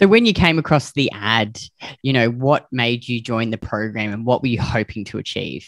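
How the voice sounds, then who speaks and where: Against a quiet background, the speaker uses an Australian accent at a moderate pace, with a dry sound and no echo. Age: 40s. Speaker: podcast host and weight loss coach; podcast host. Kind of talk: interview, casual chat. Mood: warm, friendly. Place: home room. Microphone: video call.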